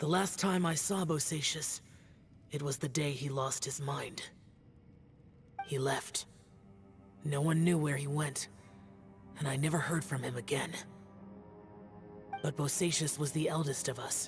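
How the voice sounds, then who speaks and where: This put-on character voice sits at a low-to-middle pitch and moves at a moderate pace with long, frequent pauses. Clear music plays in the background. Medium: game stream. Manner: terse, reserved.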